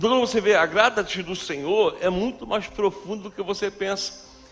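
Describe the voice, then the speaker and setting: Noticeable background noise behind fairly quick talk and fairly even intonation. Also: man. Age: 40s. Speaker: pastor. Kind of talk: sermon. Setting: church.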